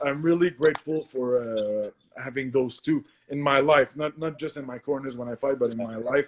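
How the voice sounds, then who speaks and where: This man speaks in a Quebec accent at a moderate pace. His pitch is fairly high and his intonation fairly even. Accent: French-Canadian accent in English. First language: French. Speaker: professional MMA fighter. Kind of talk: podcast interview. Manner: halting, many fillers and self-corrections.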